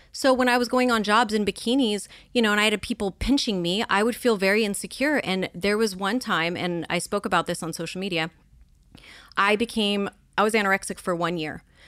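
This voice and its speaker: A woman with a Californian accent speaks at a fairly quick pace in a medium pitch, with ordinary pitch variation, on a very clean recording with a silent background. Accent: Californian American. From Los Angeles area, California. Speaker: social media influencer and model. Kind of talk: casual interview chat.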